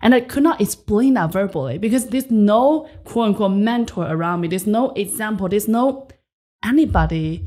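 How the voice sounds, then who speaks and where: A woman with a Chinese accent, dark and mellow in tone, with lively intonation on a very clean recording against a silent background. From rural China. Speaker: entrepreneur and podcast host. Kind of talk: interview. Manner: energetic.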